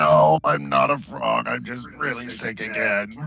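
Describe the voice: A man puts on a character voice, very deep and raspy, speaking at a fairly slow pace over clear background noise.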